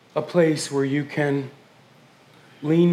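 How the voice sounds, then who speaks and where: A man's voice with audible room echo. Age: 20s. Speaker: pastor. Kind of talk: sermon; church announcements. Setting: church service with congregation. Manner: animated.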